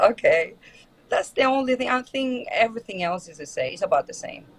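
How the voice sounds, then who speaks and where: A woman speaks with a Greek accent. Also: big swings in loudness. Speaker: actor. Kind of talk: interview. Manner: halting.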